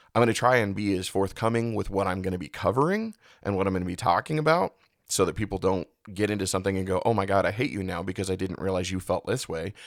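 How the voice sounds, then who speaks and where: Recorded very cleanly against a silent background, the voice races at a very fast pace with ordinary pitch variation. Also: man, fairly low pitch for a man. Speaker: podcast host. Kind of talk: podcast monologue. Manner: unscripted, one take.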